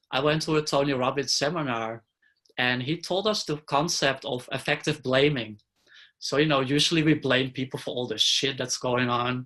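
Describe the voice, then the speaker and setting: Bright, sharp tone with fairly even intonation. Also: man, fairly high pitch for a man, moderate pace. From Netherlands. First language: Dutch. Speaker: interviewee sharing life story. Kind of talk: interview.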